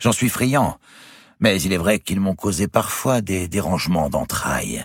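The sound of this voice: A man uses a put-on character voice with a low pitch and a slightly husky edge. He goes at a fairly slow pace with lively intonation.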